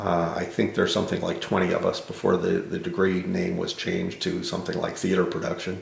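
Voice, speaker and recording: Someone talks at a very fast pace amid audible room echo and noticeable background noise. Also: man, hardly any pauses. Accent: American. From New York City. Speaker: theater consultant. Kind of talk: oral history interview. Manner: halting.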